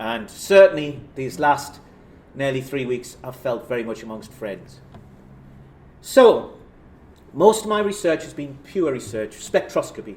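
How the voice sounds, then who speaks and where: Long, frequent pauses break up speech in a Geordie accent with very wide pitch swings and big swings in loudness. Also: man, fairly high pitch for a man, fairly slow pace. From northern England, South Shields (Tyneside). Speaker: professor. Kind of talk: lecture. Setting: stage with audience. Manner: casual, self-deprecating.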